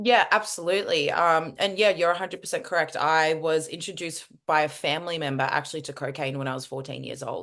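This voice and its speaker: Speaking very fast with hardly any pauses, a woman with an Australian accent has a very deep, low pitch, ordinary pitch variation and big swings in loudness against a quiet background. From Australia, Melbourne. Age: 20s. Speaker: former agency recruiter, speaker. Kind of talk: interview.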